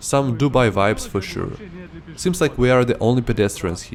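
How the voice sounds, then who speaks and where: Against noticeable background noise, a man talks at a moderate pace and medium pitch. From Ukraine. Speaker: travel vlogger. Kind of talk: scripted narration.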